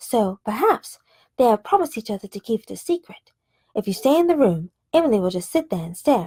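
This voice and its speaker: A woman, somewhat breathy and fairly high in pitch, at a fairly quick pace with very wide pitch swings. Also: dry, close sound with no echo. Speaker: ASMR audiobook reader. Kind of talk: ASMR story reading. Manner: soft, calm.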